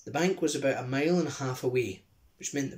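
Someone reads in an unforced reading voice with ordinary pitch variation.

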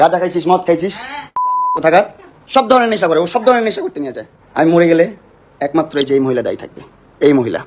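Over noticeable background noise, a high-pitched man speaks with lively intonation and big swings in loudness. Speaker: social media personality. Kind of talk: heated argument on a livestream. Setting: live video stream at home, at night. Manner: angry, shouting.

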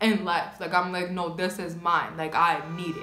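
Audible room echo around a woman at a moderate pace. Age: 20s. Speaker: YouTuber, nail technician; YouTuber. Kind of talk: casual vlog chat while doing makeup. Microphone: phone near.

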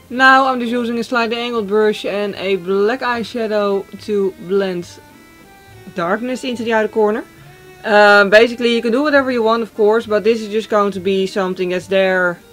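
Faint music plays in the background as a woman speaks. She keeps a moderate pace with fairly even intonation. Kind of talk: tutorial. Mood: cheerful, playful. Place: home room.

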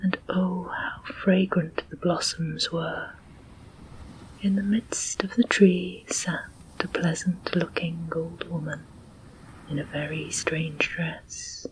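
The speech moves at a very slow pace over light background noise. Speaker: storyteller narrator. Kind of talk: audiobook story reading.

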